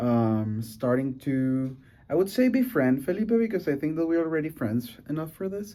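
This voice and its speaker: Fairly high in pitch, a man speaks in a dark, mellow tone. His pitch swings very widely. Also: moderate pace. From Venezuela. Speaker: student podcast host. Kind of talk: casual podcast conversation. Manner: halting, with many fillers.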